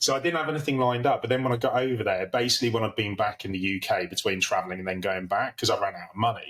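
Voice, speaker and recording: With an English accent, a man at medium pitch talks at a very fast pace with hardly any pauses and ordinary pitch variation. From England. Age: 30s. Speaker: podcast guest. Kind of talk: casual chat.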